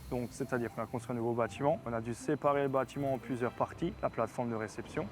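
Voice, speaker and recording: Using a medium pitch, a man talks at a very fast pace. His pitch varies in an ordinary way. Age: 20s. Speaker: farmer and food producer. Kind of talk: interview. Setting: outdoors in a field.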